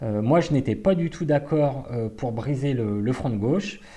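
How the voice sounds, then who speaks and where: A man speaks at a fairly slow pace in a medium pitch, his dark, mellow tone carried by lively intonation. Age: 40s. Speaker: party activist. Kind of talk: personal testimony. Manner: hesitant, many fillers.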